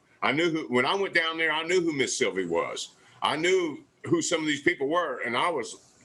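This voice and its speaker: Speaking at a fairly quick clip, a man talks with a Southern US accent. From US South, southwest Louisiana. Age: 60s. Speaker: barbecue pitmaster, TV cooking competitor. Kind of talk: casual interview chat. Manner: animated.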